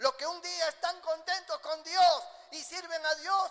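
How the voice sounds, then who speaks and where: A man speaks in a raised, projected voice at an extremely high pitch. His tone is bright and sharp, and his pace is fairly slow. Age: 60s. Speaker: pastor. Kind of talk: sermon.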